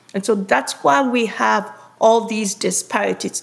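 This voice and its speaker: Her pitch is fairly high, with vocal fry running through it. This woman speaks at a fairly slow pace. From Ghana. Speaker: oncologist. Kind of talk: interview.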